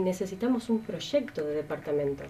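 A woman talks with lively intonation, keeping to a moderate pace. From Argentina, Santa Fe province. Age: 30s. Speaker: political candidate; candidate. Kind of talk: interview. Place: studio.

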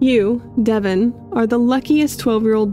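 Music plays in the background. A woman with a fairly high pitch speaks at a moderate pace. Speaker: YouTube lore theorist. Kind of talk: read story.

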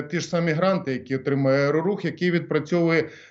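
A man talks at a fairly quick pace in a high voice. His pitch varies in an ordinary way. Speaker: former government minister. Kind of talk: radio interview. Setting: phone call. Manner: halting.

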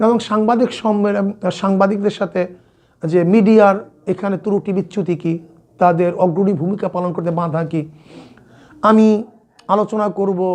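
A man's high-pitched voice carries fairly even intonation. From Bangladesh, Barisal. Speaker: Islamic scholar and parliamentary candidate. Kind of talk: interview.

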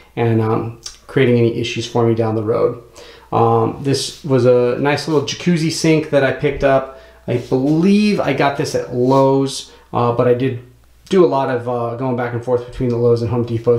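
Over a quiet background with audible room echo, a man talks at a moderate pace with ordinary pitch variation. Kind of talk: tutorial. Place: bathroom. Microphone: phone near.

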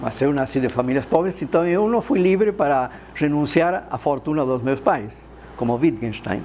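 With an Argentine accent, a man speaks at a moderate pace over light background noise. His fairly high voice has lively intonation. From Argentina, Córdoba. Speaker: philosopher. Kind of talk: lecture. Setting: stage with audience. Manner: gets louder as he gets animated; halting, many fillers. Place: classroom.

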